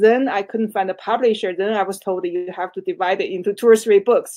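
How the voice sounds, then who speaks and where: A woman's medium-pitched voice with a dark, mellow tone, a Chinese accent, fairly even intonation and a fairly quick pace. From China. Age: 60s. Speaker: author. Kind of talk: interview. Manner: halting.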